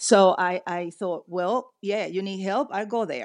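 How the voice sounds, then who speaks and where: A woman with a Spanish accent speaks at medium pitch and with fairly even intonation. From Venezuela, later raised partly in the US. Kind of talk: interview.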